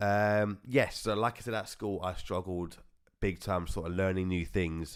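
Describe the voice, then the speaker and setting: The recording is very clean, with a silent background. The speaker mumbles with a British accent. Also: man. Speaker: podcast host. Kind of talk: personal testimony. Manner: mumbling.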